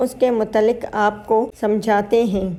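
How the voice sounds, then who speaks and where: A woman's voice sits at a fairly high pitch with a dark, mellow tone. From Pakistan. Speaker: YouTuber. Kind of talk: motivational talk.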